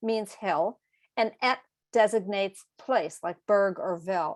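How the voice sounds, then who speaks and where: A woman with an American accent speaks at a fairly slow pace in an unremarkable speaking voice, fairly high in pitch with ordinary pitch variation. The sound is dry and close, with no echo. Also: very clean recording, silent background. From Massachusetts, US. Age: 60s. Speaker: author and educator. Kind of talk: moderated conversation.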